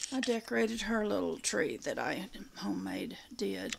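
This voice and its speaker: Noticeable background noise behind a woman's fairly slow speech. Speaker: home vlogger. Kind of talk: casual vlog chat. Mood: relaxed, self-deprecating, laughing. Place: home room. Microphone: phone near.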